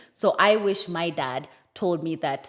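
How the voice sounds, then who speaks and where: An animated, fairly low woman's voice with ordinary pitch variation. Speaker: podcast guest. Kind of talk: casual chat. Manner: loud and animated.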